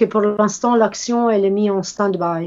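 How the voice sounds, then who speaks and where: A woman speaks with ordinary pitch variation. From Italy. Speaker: volunteer interpreter. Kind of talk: interview interpreting. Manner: halting.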